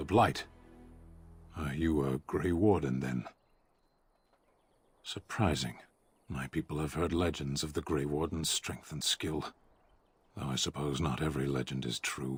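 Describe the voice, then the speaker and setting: In a put-on character voice pitched very deep and low, a man speaks at a moderate pace with long, frequent pauses on a very clean recording with a silent background. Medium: video game. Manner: slow, formal, emotionless.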